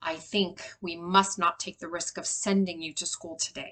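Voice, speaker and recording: A woman does a growling put-on character voice at medium pitch, with monotone, flat intonation and a moderate pace. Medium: read story.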